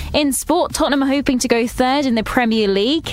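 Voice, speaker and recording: Very fast speech from a woman amid noticeable background noise. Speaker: news reader. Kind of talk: station announcer reading hourly news bulletin, scripted. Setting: studio. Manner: crisp, brisk, formal, even newsreader delivery.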